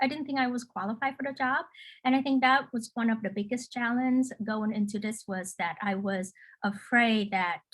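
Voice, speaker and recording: With a non-native accent, a woman speaks at a high pitch and a moderate pace, her intonation lively. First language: not English. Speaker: local elected official, panelist. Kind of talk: panel discussion. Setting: video call webinar. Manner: halting, many fillers and repetitions.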